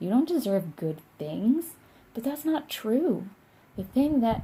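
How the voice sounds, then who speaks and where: A woman's voice swings very widely in pitch, somewhat breathy and fairly slow. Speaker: tarot reader. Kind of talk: tarot reading to camera. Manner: casual, filler-heavy.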